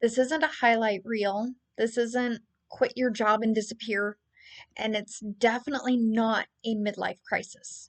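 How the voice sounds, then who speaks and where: At a fairly slow pace, a woman talks in a plain, everyday voice with a fairly high pitch. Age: 30s. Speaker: travel vlogger. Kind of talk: monologue to camera.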